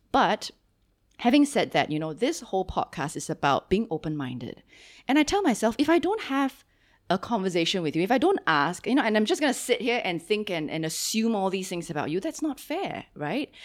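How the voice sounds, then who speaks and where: Recorded very cleanly against a silent background, a woman with a Singaporean accent talks at a fairly quick pace in an animated tone, her fairly high pitch making very wide swings. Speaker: podcast host. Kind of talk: interview. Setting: studio.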